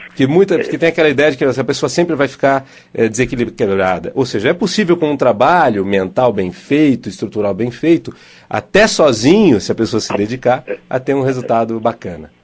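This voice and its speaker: Speaking at a fairly quick pace, a medium-pitched man lets his pitch swing very widely. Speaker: radio host and NLP therapist. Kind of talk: live radio call-in counseling. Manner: fast, hurried.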